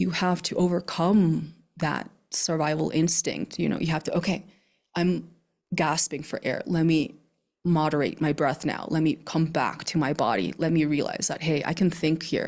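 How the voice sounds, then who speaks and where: Using a very deep, low pitch with vocal fry, a woman speaks at a moderate pace with fairly even intonation. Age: 30s. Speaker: retreat facilitator and plant medicine practitioner. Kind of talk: interview conversation. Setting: video call from a studio.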